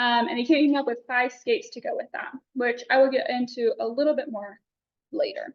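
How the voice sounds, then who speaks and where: With a Texan accent, a woman talks at a fairly quick pace in a high pitch, her pitch varying in an ordinary way and her loudness swinging widely. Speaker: student presenter. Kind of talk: class presentation. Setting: classroom. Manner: fast.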